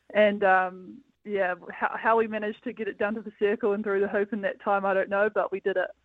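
With a New Zealand accent, a woman speaks at a medium pitch and fairly quick pace in a flat monotone. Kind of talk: casual interview. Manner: relaxed, hesitant with fillers.

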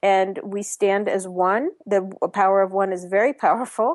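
This is a woman with a fairly high pitch and a normal speaking voice, talking at a moderate pace. The sound is dry and close with no echo, over a quiet background. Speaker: author and healer. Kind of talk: interview.

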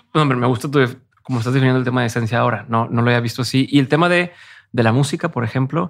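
On a very clean recording with a silent background, a man of medium pitch rattles along at a very fast pace with ordinary pitch variation. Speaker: podcast host. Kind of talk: interview.

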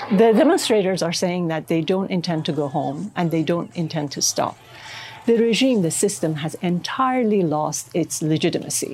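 In a Persian accent, a woman speaks at a moderate pace with lively intonation and a fairly low pitch. Noticeable background noise sits behind her. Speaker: writer. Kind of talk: interview.

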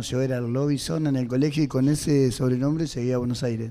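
A man speaks at a medium pitch in a dark, mellow tone. The room has audible echo. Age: 60s. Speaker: singer. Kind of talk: testimony. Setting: radio auditorium with audience.

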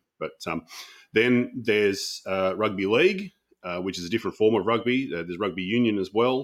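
A man with an Australian accent speaks at a moderate pace in a fairly low pitch, his intonation lively, on a very clean recording with a silent background. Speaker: podcaster and baseball commentator. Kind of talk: casual interview chat.

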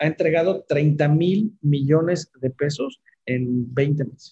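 Ordinary pitch variation runs through the delivery. Its tone is dark and mellow. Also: man. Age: 50s. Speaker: founder of a retirement savings app. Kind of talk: interview.

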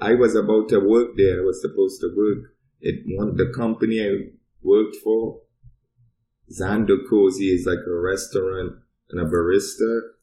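A man with an American accent speaks at a moderate pace in a fairly low pitch with a dark, mellow tone. His intonation is fairly even, with long, frequent pauses. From Trinidad, southern part. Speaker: cannabis podcast guest. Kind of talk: casual chat.

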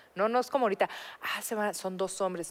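In a very clean recording with a silent background, a woman uses a plain, everyday voice at medium pitch with ordinary pitch variation. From Mexico. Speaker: podcast co-host. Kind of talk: casual chat.

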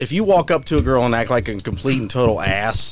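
Speaking fast with lively intonation, a man talks at a medium pitch.

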